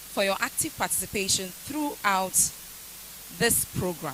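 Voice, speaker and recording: A woman speaks with a Ghanaian accent. Noticeable background noise can be heard. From Ghana, Akuapem. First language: Akuapem Twi. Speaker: university lecturer. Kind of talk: vote of thanks speech. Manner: formal.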